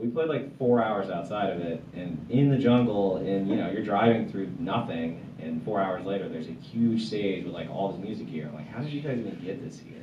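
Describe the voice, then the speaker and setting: With hardly any pauses, a man speaks at a fairly low pitch. Light background noise and audible room echo are present. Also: fairly quick pace. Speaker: guest. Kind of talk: interview answer. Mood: relaxed, amused storytelling. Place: studio.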